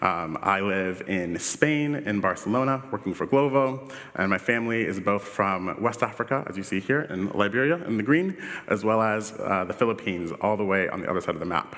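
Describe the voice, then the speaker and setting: This man talks at a fairly quick pace with a Washington DC accent. His fairly low voice has lively intonation. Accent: Washington DC American. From US, Washington DC. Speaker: UX director, conference speaker. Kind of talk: conference talk. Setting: stage with audience. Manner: casual, filler-heavy.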